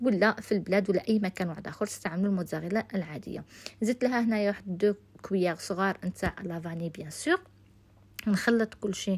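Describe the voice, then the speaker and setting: The woman's voice is somewhat breathy. She talks at a fairly quick pace. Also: medium pitch for a woman, ordinary pitch variation. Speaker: cooking youtuber. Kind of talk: cooking tutorial. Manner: casual.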